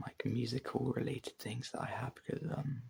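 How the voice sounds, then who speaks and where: Someone whispers at a moderate pace. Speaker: ASMR content creator. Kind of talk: ASMR whispered casual talk. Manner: whispering; halting, many fillers.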